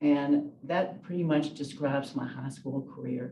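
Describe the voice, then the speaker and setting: A woman with a Southern US accent, a very deep, low pitch, ordinary pitch variation and a moderate pace. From US South, Memphis, Tennessee. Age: 70s. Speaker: retired lawyer. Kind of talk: oral history interview.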